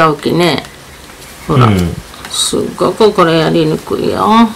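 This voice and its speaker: Fairly low-pitched woman's speech with a Tosa accent, over light background noise. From Kochi, Japan. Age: old. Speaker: grandmother sewing. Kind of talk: casual talk while sewing. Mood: relaxed, mildly grumbling. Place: home room. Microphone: phone near.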